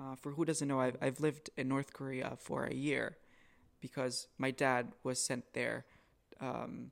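A man's voice with vocal fry, fairly even intonation and a fairly slow pace. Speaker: podcast host. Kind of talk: casual interview.

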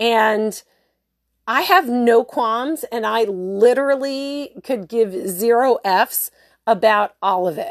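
Recorded with a dry, close sound and no echo, an unremarkable speaking voice carries lively intonation. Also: woman. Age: 40s. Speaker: podcast host. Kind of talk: casual monologue. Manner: casual, filler-heavy.

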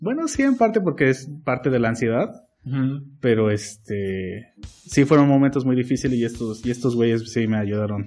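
Music plays in the background. A man talks at a fairly slow pace with a medium pitch. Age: 20s. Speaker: podcast co-host and acting student. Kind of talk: casual chat.

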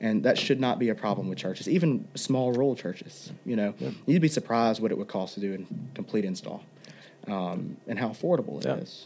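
A man's medium-pitched voice with vocal fry, very wide pitch swings and a fairly quick pace. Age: 20s. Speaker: associate pastor and worship musician. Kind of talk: casual interview.

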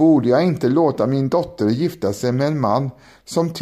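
Ordinary pitch variation while reading aloud in a natural voice.

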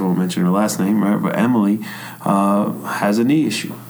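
There is audible room echo and noticeable background noise around this man's voice. He speaks at a moderate pace with ordinary pitch variation. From New York. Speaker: high school strength coach and health teacher. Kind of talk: casual podcast interview.

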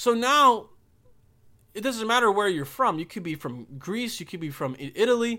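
In a very clean recording with a silent background, a man uses a raised, projected voice with an animated, bright, sharp tone, lively intonation and a fairly quick pace. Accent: American. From Bosnia. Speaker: podcast host. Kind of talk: casual comedic rant with ad read. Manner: animated, profane, rambling.

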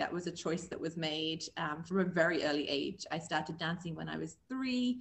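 A woman with an English accent, somewhat breathy, with lively intonation at a moderate pace. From England. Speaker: magazine co-owner and former professional dancer. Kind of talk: interview.

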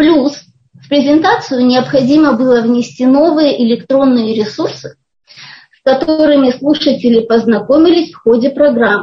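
Her pitch is high, with ordinary variation, at a fairly slow pace. This woman's loudness swings widely. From Kazakhstan, Almaty. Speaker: Russian as a foreign language teacher. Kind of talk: interview.

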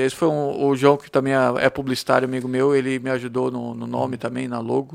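Using an ordinary speaking voice, a man talks at a fairly quick pace. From Blumenau, southern Brazil. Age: 40s. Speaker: songwriter and volunteer. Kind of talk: casual interview chat.

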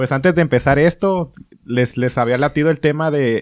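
With a plain, everyday voice, a man talks at a moderate pace in a fairly high pitch, with ordinary pitch variation. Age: 20s. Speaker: podcast host. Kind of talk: casual chat. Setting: friend's home.

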